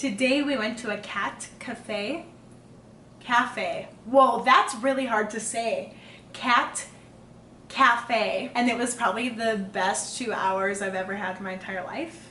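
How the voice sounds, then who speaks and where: A woman talks at a very slow pace in a fairly high pitch. Her pitch varies in an ordinary way, and room echo can be heard. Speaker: engaged couple podcast host. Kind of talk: casual chat.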